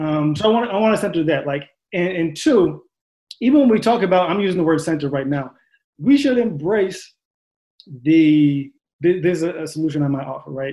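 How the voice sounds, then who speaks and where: A man with a high voice and a dark, mellow tone speaks at a fairly quick pace with lively intonation and long, frequent pauses. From Long Island, New York. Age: 20s. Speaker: psychology doctoral candidate. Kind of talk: panel discussion.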